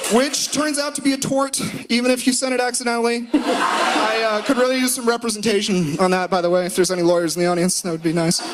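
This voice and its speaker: Amid noticeable background noise and audible room echo, a man talks at a very fast pace in an extremely high pitch. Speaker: law student doing comedy. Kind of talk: stand-up. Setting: stage with audience. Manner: loud; animated.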